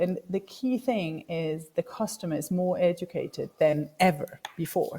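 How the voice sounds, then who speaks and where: A woman speaks with a German accent. Her intonation is lively. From Germany. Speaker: startup business development director. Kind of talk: conference talk. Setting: video call.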